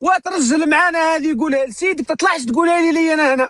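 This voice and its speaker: Here a man talks at a fairly quick pace with ordinary pitch variation. The recording is dry and close, without echo. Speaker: live streamer. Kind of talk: live stream commentary.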